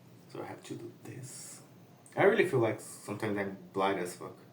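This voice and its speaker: A speaker with a Brazilian Portuguese accent is heard with audible room echo and noticeable background noise. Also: man. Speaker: comic artist. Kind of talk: casual tutorial while drawing. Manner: casual, halting.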